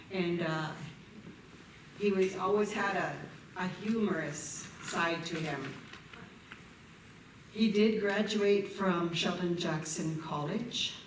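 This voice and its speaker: In a medium-pitched voice with fairly even intonation, a woman speaks at a very slow pace with long, frequent pauses, over noticeable background noise and audible room echo. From Southeast Alaska. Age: 70s. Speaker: code talker's family member. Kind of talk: memorial speech. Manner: halting, with fillers.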